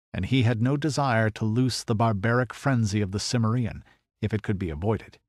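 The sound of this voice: Over a quiet background, someone reads in an unforced reading voice.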